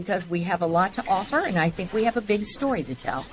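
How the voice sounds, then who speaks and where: Ordinary pitch variation comes through over light background noise. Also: woman. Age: 60s. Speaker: mayor. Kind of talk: casual interview. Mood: warm, proud of town. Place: office.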